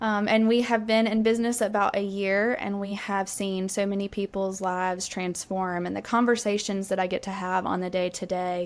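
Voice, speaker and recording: A woman with a slight Southern US accent, medium pitch, flat monotone intonation and moderate pace, on a very clean recording with a silent background. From Alabama, US South. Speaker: sales coach. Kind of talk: interview podcast.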